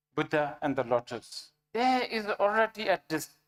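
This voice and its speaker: Speaking very slowly, a woman is heard. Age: 60s. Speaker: Buddhist teacher. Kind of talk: dharma teaching with consecutive interpretation. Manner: halting.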